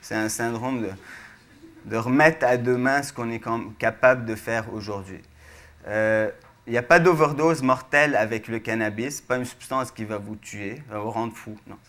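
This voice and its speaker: This man talks at a medium pitch and a moderate pace, with ordinary pitch variation. He has a plain, everyday voice. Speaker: researcher, speaker. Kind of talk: public science lecture.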